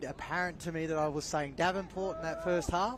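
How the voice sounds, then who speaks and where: Speaking with a Melbourne accent, a man has a high pitch and fairly even intonation. His pace is fairly quick. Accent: Melbourne Australian. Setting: sports commentary broadcast.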